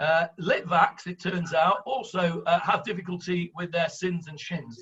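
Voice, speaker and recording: With a strong northern English accent, a man speaks at a fairly slow pace in a high pitch and a bright, sharp tone, showing ordinary pitch variation and big swings in loudness. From northern England. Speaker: rabbi and Bible teacher. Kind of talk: online Bible class discussion. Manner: hesitant, many fillers.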